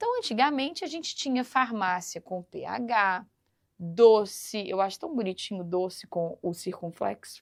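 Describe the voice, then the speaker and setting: With a Minas Gerais accent, a woman speaks at a fairly slow pace. Her intonation is lively. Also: fairly high pitch for a woman, big swings in loudness. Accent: Minas Gerais (mineiro). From Brazil, Minas Gerais. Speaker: teacher. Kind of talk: lecture. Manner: animated.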